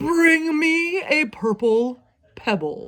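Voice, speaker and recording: A high-pitched, female-sounding put-on character voice. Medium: read story.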